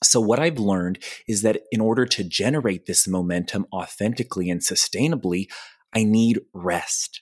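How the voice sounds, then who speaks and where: A man at a moderate pace with ordinary pitch variation, on a very clean recording with a silent background. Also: fairly low pitch for a man, dry, close sound with no echo. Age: 20s. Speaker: goal coach and podcast creator. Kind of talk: podcast interview, conversational. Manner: upbeat, optimistic.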